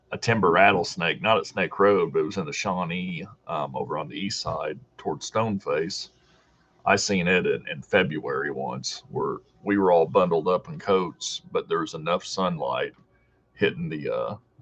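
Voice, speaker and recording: A man with a Deep South accent speaks at a moderate pace. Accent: sounds like from the deep south. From Southern Illinois. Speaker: hiking youtuber. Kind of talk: live stream chat reading comments. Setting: live video stream from home.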